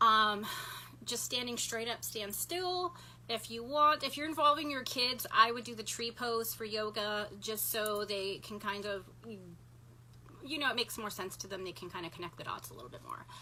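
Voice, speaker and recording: Background noise is noticeable as a woman talks at a moderate pace. Her fairly high voice swings widely in loudness. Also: lively intonation. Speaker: energy healer. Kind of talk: instructional talk to live viewers.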